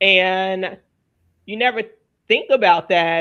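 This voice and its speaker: A woman talks at a very slow pace in an American accent. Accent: Southern accent, largely trained away. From Louisiana, US South. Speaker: wellness show host. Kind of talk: panel discussion.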